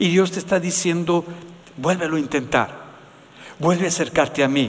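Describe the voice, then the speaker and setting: A man speaks in a fairly high pitch with ordinary pitch variation. Noticeable background noise can be heard. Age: 70s. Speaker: pastor. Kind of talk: sermon.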